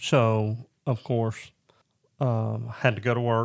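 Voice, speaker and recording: A medium-pitched man in a Southern US accent, flat and monotone, on a very clean recording with a silent background. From Northwest Arkansas. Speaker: guest sharing marriage testimony. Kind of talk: testimony.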